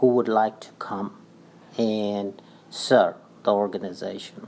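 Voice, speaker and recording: A man is speaking. His pace is fairly slow. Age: 60s. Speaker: community organization leader, election candidate. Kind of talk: radio interview. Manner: halting.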